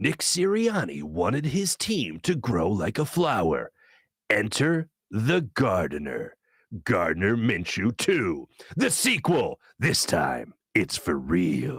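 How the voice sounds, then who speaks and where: On a very clean recording with a silent background, a man performs a put-on character voice in a dramatic tone, at a medium pitch and a fairly slow pace. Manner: dramatic, announcing.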